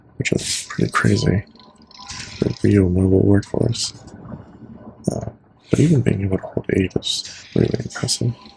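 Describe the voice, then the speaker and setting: In a calm tone and at a moderate pace, a man speaks with long, frequent pauses over noticeable background noise. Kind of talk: ASMR gaming commentary, casual talk to camera. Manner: soft-spoken, calm.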